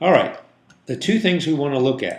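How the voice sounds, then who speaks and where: A man's fairly high-pitched voice with vocal fry and very wide pitch swings, set in audible room echo. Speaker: digital marketing agency owner. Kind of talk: tutorial. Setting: office conference room.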